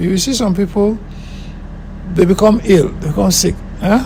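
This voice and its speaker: Over noticeable background noise, a man talks at a moderate pace. His voice is high, with a Nigerian accent. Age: 70s. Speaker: filmmaker and musician. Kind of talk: interview.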